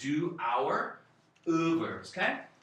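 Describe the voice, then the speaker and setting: The recording carries audible room echo and noticeable background noise. Here a man talks at a very slow pace. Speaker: Korean language teacher. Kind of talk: tutorial.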